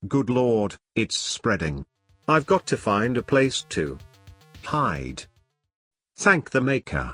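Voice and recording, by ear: A man in a cartoonish character voice speaks slowly at a medium pitch, with long, frequent pauses, big pitch swings, a fairly bright tone and a slightly husky edge, as faint music plays in the background.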